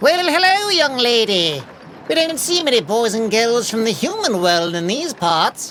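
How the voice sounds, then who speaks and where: Over clear background noise, a female-sounding voice puts on a character voice, fairly high in pitch with very wide pitch swings, at a moderate pace. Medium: read story. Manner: warm, folksy.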